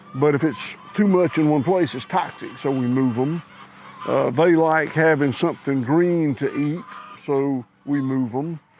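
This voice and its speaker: Over noticeable background noise, a man with an American accent talks at a fairly slow pace, his fairly high voice showing ordinary pitch variation. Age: 60s. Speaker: cattle rancher. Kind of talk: interview. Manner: halting, many fillers.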